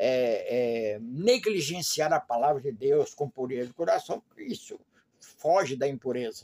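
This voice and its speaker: The voice swings very widely in pitch and moves at a fairly slow pace. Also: man. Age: 80s+. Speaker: lay preacher. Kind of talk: informal Bible teaching. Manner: halting.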